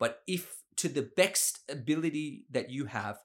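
The speaker is a man. He has an Australian accent. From Sydney, Australia. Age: 30s. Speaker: criminal lawyer. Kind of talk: interview conversation. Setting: office.

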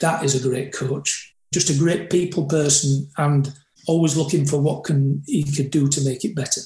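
A man's fairly high voice with a dark, mellow tone, somewhat breathy, at a moderate pace with fairly even intonation. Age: 60s. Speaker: rugby coach. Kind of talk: interview conversation.

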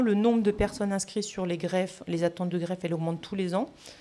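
A woman speaks fairly quickly at a medium pitch. Her intonation stays fairly even over noticeable background noise. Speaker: emergency physician. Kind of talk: interview. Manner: halting.

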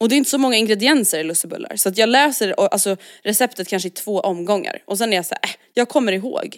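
A woman talks at a very fast pace with a fairly high pitch. Her intonation is lively. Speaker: podcast co-host. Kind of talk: casual chat.

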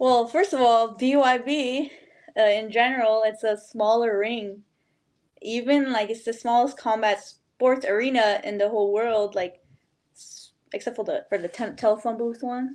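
In an ordinary speaking voice, a woman talks at a moderate pace with fairly high pitch. Her intonation is fairly even, though her loudness swings widely. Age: 30s. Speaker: bare knuckle boxer. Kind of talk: casual interview.

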